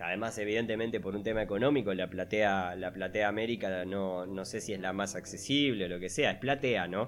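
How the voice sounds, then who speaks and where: This man talks at a fairly quick pace in a plain, everyday voice. His pitch is fairly low, with ordinary variation. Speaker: podcast co-host. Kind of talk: casual chat. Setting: remote recording.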